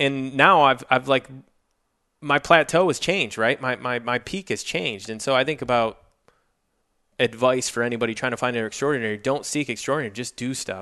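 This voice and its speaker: Speaking at a fairly quick pace with an American accent, a man uses a medium pitch, ordinary pitch variation and a bright, sharp tone. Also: quiet background. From Michigan (Jackson, near Detroit). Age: 40s. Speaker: sales executive. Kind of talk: interview conversation.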